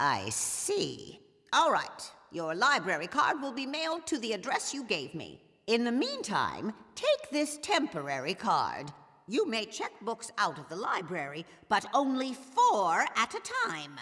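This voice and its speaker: A woman performs a put-on character voice at a fairly slow pace, her fairly high pitch moving in very wide pitch swings. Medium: video game. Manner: prim, clipped, shushing.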